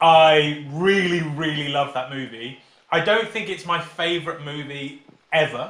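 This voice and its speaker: The man's voice is fairly high, with ordinary pitch variation and a fairly slow pace. The room echo is audible. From England, Peterborough area. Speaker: teacher. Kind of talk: casual chat.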